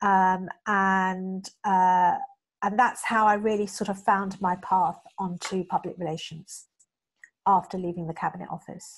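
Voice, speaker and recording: A woman's medium-pitched, monotone, flat voice at a fairly slow pace. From England, with teen years in India. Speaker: public relations professional. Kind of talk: interview. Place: home room. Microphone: video call.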